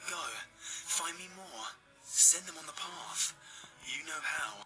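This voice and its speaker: Soft-spoken in a put-on character voice, a woman talks at a fairly low pitch and fairly slow pace over clear background noise. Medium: game stream. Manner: cooing, seductive.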